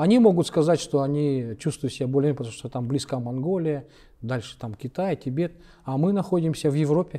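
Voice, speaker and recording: A man with a Kalmyk accent, fairly high pitch, a dark, mellow tone, ordinary pitch variation and a fairly quick pace, against a quiet background. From Kalmykia, Russia. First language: Kalmyk (speaking Russian). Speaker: publisher of Buddhist literature; interviewee. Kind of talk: interview conversation. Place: hall. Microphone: lapel.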